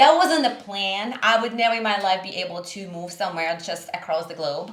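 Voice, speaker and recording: Audible room echo surrounds a woman speaking at medium pitch and a fairly quick pace with lively intonation. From Russia, Siberia. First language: Russian. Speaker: small business owner. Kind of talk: podcast interview.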